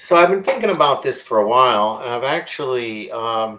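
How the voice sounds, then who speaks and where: This man's voice sits at a medium pitch, with lively intonation and a moderate pace. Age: 60s. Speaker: podcast co-host presenting a talk. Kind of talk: casual presentation with slides. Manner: halting, many fillers.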